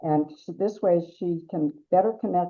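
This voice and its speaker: A woman speaks with a Wisconsin accent. Her pitch is fairly low, with ordinary variation. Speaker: webinar host. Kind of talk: webinar introduction. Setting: online webinar.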